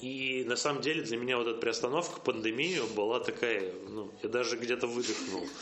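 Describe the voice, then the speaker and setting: Hardly any pauses break this moderate-paced speech, which has ordinary pitch variation. Room echo is audible, and background noise is noticeable. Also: man, medium pitch for a man. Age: 30s. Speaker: marketing agency executive. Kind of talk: interview.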